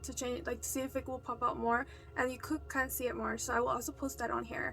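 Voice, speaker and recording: A woman talks fairly quickly over music in the background. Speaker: video blogger. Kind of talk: casual story time monologue. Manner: fast.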